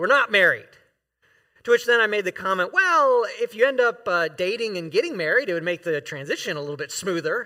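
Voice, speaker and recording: With an American accent, a man speaks at a fairly quick pace in a high pitch with very wide pitch swings. His voice is raised and projected, with a bright, sharp tone. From US South, Florida. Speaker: guest preacher and professor. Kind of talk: sermon. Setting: church.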